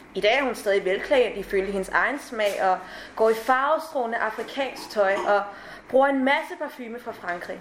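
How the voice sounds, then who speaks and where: In an ordinary speaking voice, a woman speaks at a moderate pace with a fairly high pitch. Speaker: actress. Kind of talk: reading aloud. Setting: stage with audience.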